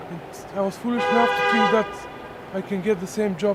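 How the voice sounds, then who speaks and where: A man's high-pitched voice with ordinary pitch variation at a moderate pace, over noticeable background noise. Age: 30s. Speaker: homeless web developer. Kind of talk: interview testimony.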